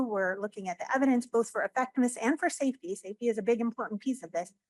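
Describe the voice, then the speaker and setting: Quick-paced and lively in intonation, a woman speaks in a dry, close recording with no echo. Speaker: government drug regulator. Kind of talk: conference talk. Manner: fast.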